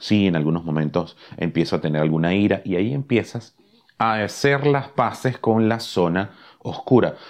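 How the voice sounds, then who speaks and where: Against a quiet background, a man with an unremarkable speaking voice, fairly low in pitch, uses lively intonation. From Caribbean. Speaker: podcast host, love and relationships coach. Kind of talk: motivational talk.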